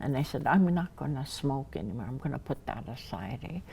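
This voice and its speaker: Very deep, low pitch from a woman with a dark, mellow tone and lively intonation, on a very clean recording with a silent background. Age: 70s. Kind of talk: personal testimony. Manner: halting, with many restarts.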